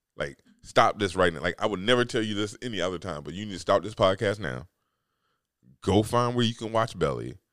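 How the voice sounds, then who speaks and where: A man talks at a fairly quick pace in a very deep, low pitch with vocal fry. The recording is very clean, with a silent background. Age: 40s. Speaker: podcast host. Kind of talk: casual monologue. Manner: halting, many fillers.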